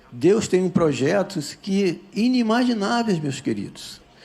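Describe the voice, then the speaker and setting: The man's pitch is high and his tone dark and mellow. He talks fairly slowly with lively intonation. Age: 60s. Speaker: retired military man giving church testimony. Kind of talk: testimony. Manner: animated.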